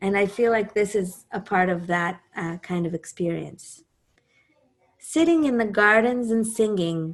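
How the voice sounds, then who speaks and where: Her intonation is lively, and her pitch sits in the medium range. The woman speaks at a fairly slow pace in an Israeli accent. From Israel, Jerusalem. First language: Hebrew. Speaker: singer and composer. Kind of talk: talk introducing a music program.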